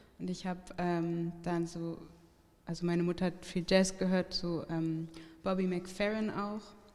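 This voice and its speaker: Speech comes at a fairly slow pace in a flat monotone, with noticeable background noise behind it. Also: woman, fairly low pitch for a woman. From Hamburg, Germany. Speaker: singer-songwriter. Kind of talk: casual interview. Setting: live venue with audience.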